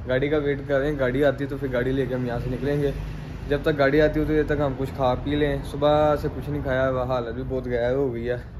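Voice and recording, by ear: Medium-pitched male speech with little pitch movement, audible room echo and clear background noise. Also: fairly quick pace.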